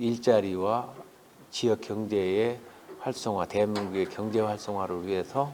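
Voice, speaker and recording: Here a man talks at a very slow pace with fairly even intonation. His pitch is fairly low. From South Chungcheong, South Korea. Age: 60s. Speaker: politician, parliamentary candidate. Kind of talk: interview answer.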